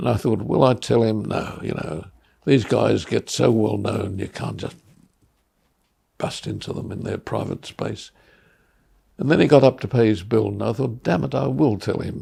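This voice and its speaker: At a moderate pace and a fairly low pitch, a man speaks with a dark, mellow tone and vocal fry, his pitch swinging very widely between long, frequent pauses. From Australia. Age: 80s+. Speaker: artist. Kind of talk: oral history storytelling. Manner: warm, humorous.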